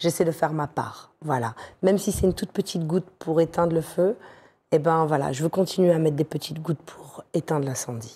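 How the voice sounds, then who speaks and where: Somewhat breathy, this woman's fairly low voice has a dark, mellow tone. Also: ordinary pitch variation, fairly quick pace. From northern France. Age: 40s. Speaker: radio and TV presenter, journalist. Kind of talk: casual interview chat. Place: studio. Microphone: lapel.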